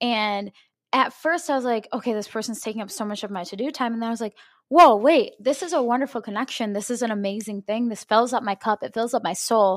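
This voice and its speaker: Someone talks at a very fast pace with ordinary pitch variation on a very clean recording with a silent background. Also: woman, fairly high pitch for a woman. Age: 20s. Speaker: personal trainer, podcast host. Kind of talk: casual chat.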